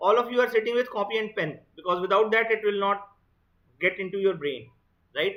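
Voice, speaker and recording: Talking at a fairly quick pace with an Indian accent, the speaker leaves long, frequent pauses. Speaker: exam prep teacher. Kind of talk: online lecture.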